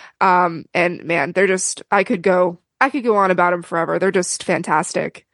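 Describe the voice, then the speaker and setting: A woman at a moderate pace and medium pitch, with ordinary pitch variation over a quiet background. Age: 20s. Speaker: touring crew member. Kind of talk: casual chat.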